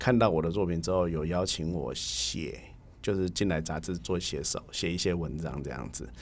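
The voice carries vocal fry and lively intonation. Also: man, very deep, low pitch for a man, moderate pace. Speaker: baseball writer and magazine editor. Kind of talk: casual interview chat.

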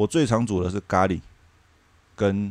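At a moderate pace, a man with a very deep, low voice speaks with ordinary pitch variation. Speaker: former working holiday traveler. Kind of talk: casual chat.

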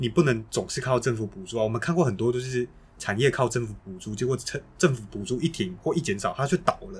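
Somewhat breathy and medium-pitched, a man talks at a fairly quick pace with lively intonation. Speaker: podcast co-host. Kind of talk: casual policy discussion.

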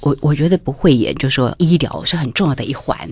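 A woman with a very deep, low pitch and a fairly quick pace. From Taiwan, Taipei. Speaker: food writer. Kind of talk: interview.

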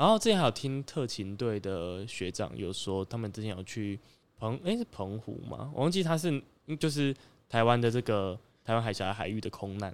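A man speaks at a moderate pace with a medium-pitched voice on a very clean recording with a silent background. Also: lively intonation. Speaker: government agency social media editor and illustrator. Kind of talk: casual chat.

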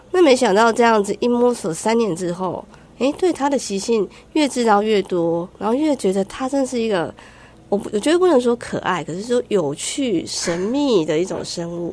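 The speaker's pitch swings very widely at a moderate pace. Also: woman. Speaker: wildlife conservation researcher. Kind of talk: radio interview. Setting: studio.

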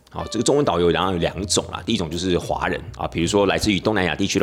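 A man talks very fast with a very deep, low pitch. Music plays in the background. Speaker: tour leader and podcast host. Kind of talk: casual podcast monologue.

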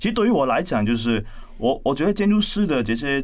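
Audible room echo surrounds a man talking at a fairly quick pace with very wide pitch swings. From Hong Kong. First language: Cantonese (speaking Chinese). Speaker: architect and university lecturer. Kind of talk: interview conversation. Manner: hesitant, many fillers.

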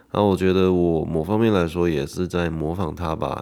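Recorded very cleanly over a silent background, a man speaks at a moderate pace with a very deep, low pitch and fairly even intonation. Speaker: podcaster and social media creator. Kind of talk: solo monologue podcast. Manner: casual, with filler words.

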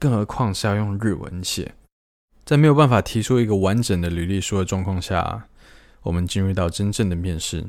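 With a plain, everyday voice, a man speaks fairly quickly at a fairly low pitch. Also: ordinary pitch variation. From Taiwan. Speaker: podcast host. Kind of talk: solo podcast storytelling.

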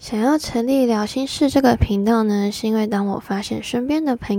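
Over a silent background in a very clean recording, a woman speaks at a moderate pace. Her fairly high voice has a dark, mellow tone and ordinary pitch variation. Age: 20s. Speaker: solo podcaster, office worker. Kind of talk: scripted monologue.

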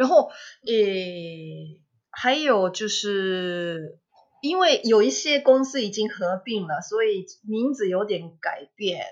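A woman with a Japanese accent, lively intonation and a very slow pace. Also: medium pitch for a woman. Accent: Japanese accent in Mandarin. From Japan, Kobe (Kansai). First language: Japanese (speaking Chinese). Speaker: language teacher. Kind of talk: interview. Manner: halting, many fillers.

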